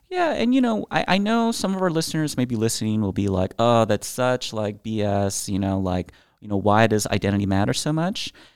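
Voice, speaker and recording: With an ordinary speaking voice and an American accent, the speaker moves at a fairly quick pace with lively intonation and hardly any pauses, in a very clean recording with a silent background. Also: man, medium pitch for a man. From California, Bay Area. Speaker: podcast co-host. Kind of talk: casual political discussion.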